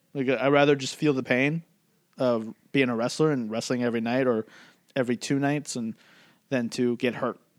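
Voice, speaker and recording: A man at medium pitch talks at a fairly quick pace, leaving long, frequent pauses, on a very clean recording with a silent background. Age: 30s. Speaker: wrestling podcast host. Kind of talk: casual chat. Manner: animated.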